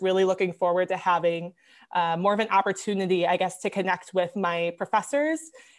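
Speaking at a fairly quick pace, a woman with an American accent keeps a medium pitch and fairly even intonation. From Wisconsin, US Midwest. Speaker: pharmacy student. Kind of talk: interview. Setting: remote recording from home.

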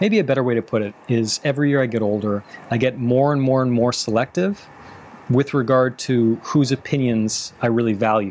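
A man with a plain, everyday voice, medium in pitch, with ordinary pitch variation. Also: fairly quick pace. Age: 30s. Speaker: relationship coach and podcast host. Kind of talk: advice Q&A monologue.

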